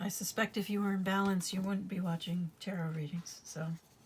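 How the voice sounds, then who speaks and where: A woman speaks at a moderate pace in a medium pitch, her voice somewhat breathy. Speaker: tarot reader. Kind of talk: tarot reading. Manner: casual, halting.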